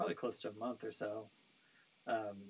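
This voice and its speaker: A man with an American accent at a fairly quick pace. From California, US (San Jose). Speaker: nu metal bassist. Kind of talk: interview. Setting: live stream. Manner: casual, hesitant with many fillers.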